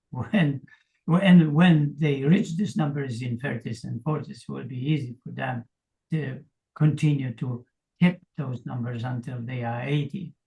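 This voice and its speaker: A man speaks at a fairly slow pace in a fairly high pitch with ordinary pitch variation, his dark, mellow tone somewhat breathy and his loudness swinging widely. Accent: Polish. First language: Polish. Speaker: fitness coach. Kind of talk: interview.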